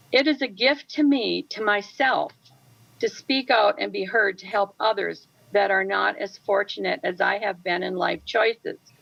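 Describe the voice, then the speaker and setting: This voice has vocal fry, ordinary pitch variation and a moderate pace. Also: woman, medium pitch for a woman. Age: 70s. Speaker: widowed retiree testifying. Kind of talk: public testimony read from prepared statement. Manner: formal.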